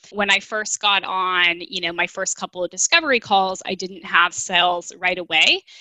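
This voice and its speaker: The voice is a woman's, a plain, everyday voice. She holds a medium pitch at a moderate pace. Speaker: dietitian. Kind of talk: casual interview chat.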